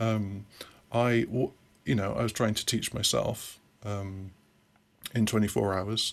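Speaking slowly with a British accent, a man keeps a fairly low, flat, monotone pitch, leaving long, frequent pauses. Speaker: software consultant and programming teacher. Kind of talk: casual interview. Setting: remote call.

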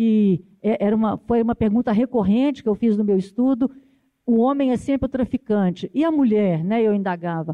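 A woman with a normal speaking voice talks at a fairly high pitch and a moderate pace, her loudness very even. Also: ordinary pitch variation. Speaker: university professor. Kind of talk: panel debate.

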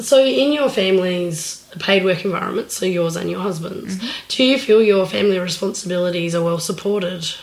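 With audible room echo and noticeable background noise, the speech runs at a fairly quick pace with hardly any pauses and ordinary pitch variation. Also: woman, medium pitch for a woman. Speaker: podcast host and working parent. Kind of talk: casual interview chat.

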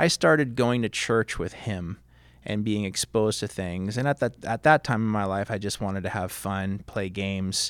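A man with a fairly low pitch and ordinary pitch variation speaks at a moderate pace in a very clean recording with a silent background. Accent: Californian. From Southern California. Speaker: high school history teacher. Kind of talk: casual interview. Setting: studio.

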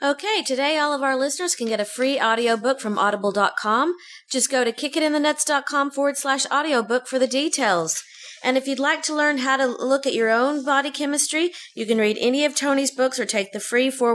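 A woman with a high pitch and ordinary pitch variation talks at a fairly quick pace over noticeable background noise. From Texas. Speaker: podcast co-host. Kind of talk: casual chat.

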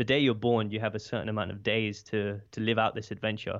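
A man speaks at a fairly quick pace with a British accent, his fairly low voice held in a flat monotone. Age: 20s. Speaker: podcast host and speaker. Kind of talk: interview conversation. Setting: remote call.

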